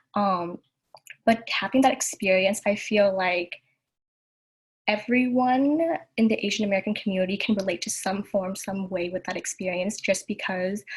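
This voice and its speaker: At a moderate pace, a somewhat breathy woman talks at medium pitch with ordinary pitch variation and long, frequent pauses. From Southern California, Vietnamese American family. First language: Vietnamese. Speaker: youth panelist. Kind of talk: panel discussion.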